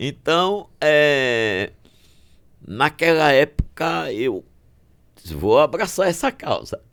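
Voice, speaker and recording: This man has a fairly high pitch and lively intonation. He talks very slowly, with long, frequent pauses. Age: 70s. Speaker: physician. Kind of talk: podcast interview.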